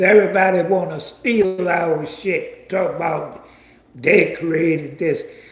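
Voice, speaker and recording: With an animated tone, a man speaks at a high pitch in a room with audible echo. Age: 70s. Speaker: online commentator. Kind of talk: livestream commentary rant.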